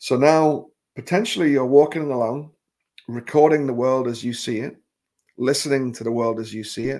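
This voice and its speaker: Speaking at a fairly quick pace, a man with a medium pitch and a dark, mellow tone uses ordinary pitch variation. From northern England (Newcastle). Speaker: tech trainer. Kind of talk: recorded presentation. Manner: casual, with fillers.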